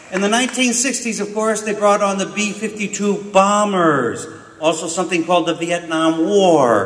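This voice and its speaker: Speaking at a moderate pace in a high pitch, a man is heard with audible room echo and noticeable background noise. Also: ordinary pitch variation. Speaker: peace activist. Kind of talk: conference talk. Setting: conference with audience.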